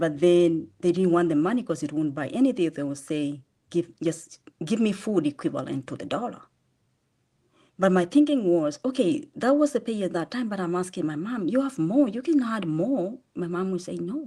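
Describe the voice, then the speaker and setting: A woman with a Kenyan accent speaks at a moderate pace in a medium pitch, her dark, mellow tone rising and falling in very wide swings over a very clean recording with a silent background. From Kenya, Machakos (eastern Kenya). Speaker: charity founder. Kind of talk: interview testimony. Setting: podcast interview.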